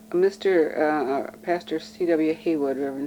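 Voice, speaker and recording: A woman with an American accent at a fairly slow pace, against noticeable background noise. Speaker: local resident interviewed for oral history. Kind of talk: oral history interview. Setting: at her home. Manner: hesitant, with many fillers.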